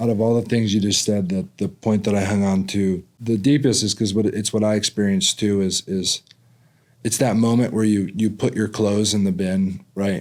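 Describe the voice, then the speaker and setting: Speaking at a moderate pace, a man with a plain, everyday voice keeps a fairly low pitch, fairly even intonation and very even loudness. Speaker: podcast host. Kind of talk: podcast interview hosting.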